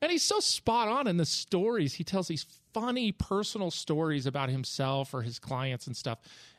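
A man's high-pitched voice with very wide pitch swings, dry and close with no echo, on a very clean recording with a silent background. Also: moderate pace. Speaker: real estate agent and author. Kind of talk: casual panel discussion.

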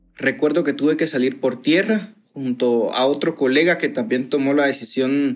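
With a plain, everyday voice, a man talks at a fairly slow pace, his pitch fairly high and its variation ordinary. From Guatemala. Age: 20s. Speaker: journalist. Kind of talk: interview testimony. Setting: video call.

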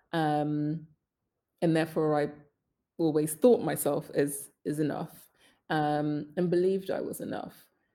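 A woman's fairly low voice in a British accent, with a dark, mellow tone at a moderate pace. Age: 30s. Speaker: social entrepreneur. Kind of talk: interview.

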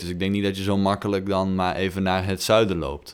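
The man's pitch is very deep and low, and his intonation stays monotone and flat. The recording is very clean, with nothing in the silent background. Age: 20s. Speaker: podcast co-host. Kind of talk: casual chat.

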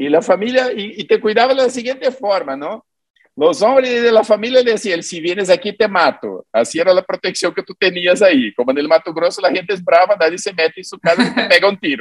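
Lively in intonation and high-pitched, a man talks at a fairly quick pace with big swings in loudness, the sound dry and close with no echo. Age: 50s. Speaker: psychic and self-styled prophet. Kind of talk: interview conversation.

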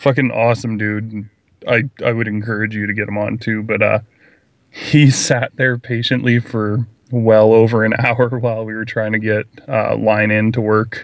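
Monotone and flat in intonation, a man talks at a moderate pace in a medium pitch. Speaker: podcaster. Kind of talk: casual chat.

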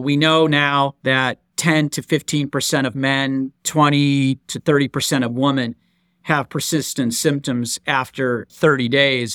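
A man's plain, everyday voice, fairly high-pitched and fairly slow, in a dry, close sound with no echo. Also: very clean recording, silent background. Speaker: podcast host, physician. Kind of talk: interview. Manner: formal.

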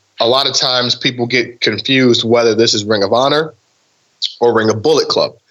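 Fairly even intonation in an American accent. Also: man. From Ohio, Cleveland east side. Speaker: pro wrestler. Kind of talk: casual interview.

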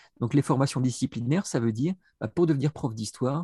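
A man with a dark, mellow tone and a somewhat breathy voice speaks at a medium pitch with ordinary pitch variation, in a dry, close sound with no echo and a quiet background. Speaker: education professor, researcher. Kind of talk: interview. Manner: hesitant, repeats words.

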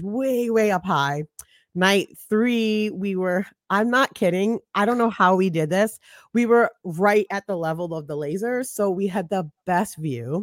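In a New York accent, a woman speaks at medium pitch and a fairly slow pace. Her intonation is lively, and the sound is dry and close with no echo. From Brooklyn, New York (Flatbush). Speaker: digital strategist and podcaster. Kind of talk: casual chat.

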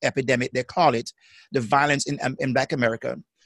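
A man with a Jamaican accent, in a dry, close sound with no echo. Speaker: psychotherapist. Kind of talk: casual chat. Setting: video call. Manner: halting.

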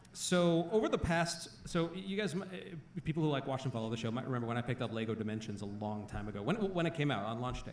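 Noticeable background noise sits under a man speaking very fast at a medium pitch, his pitch swinging very widely. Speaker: podcast host. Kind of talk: live podcast show with banter. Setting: stage with audience.

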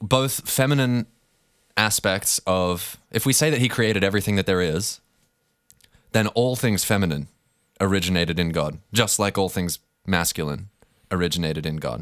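Very deep and low, this man's voice moves at a moderate pace with lively intonation and long, frequent pauses. The recording is very clean, with a silent background. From Australia. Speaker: podcast co-host. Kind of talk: casual conversational discussion.

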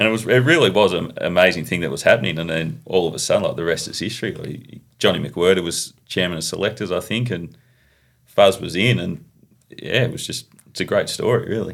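The speaker is a man with an Australian accent. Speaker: professional cricketer. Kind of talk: podcast interview.

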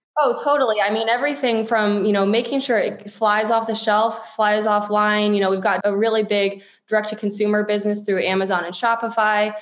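A woman with an American accent, fairly high-pitched and monotone with flat intonation, at a fairly quick pace with hardly any pauses, plus audible room echo and noticeable background noise. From US East Coast, DC area. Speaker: marketing executive. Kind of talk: interview.

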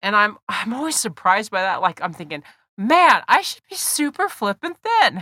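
A woman speaks at a moderate pace in a bright, sharp tone, her pitch fairly high with very wide swings. The sound is dry and close, with no echo. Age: 50s. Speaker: podcast host. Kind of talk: personal monologue.

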